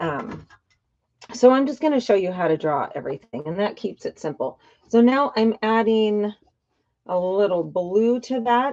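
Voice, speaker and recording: At a moderate pace, a woman with a medium pitch and a dark, mellow tone speaks with lively intonation and big swings in loudness. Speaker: art teacher. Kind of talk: tutorial. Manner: animated.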